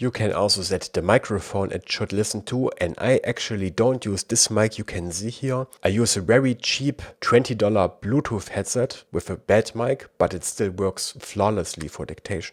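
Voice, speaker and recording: A man with a German accent talks in a fairly low voice with hardly any pauses, on a very clean recording with a silent background and a dry, close sound with no echo. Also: ordinary pitch variation, moderate pace. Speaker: tech reviewer. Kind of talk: tutorial.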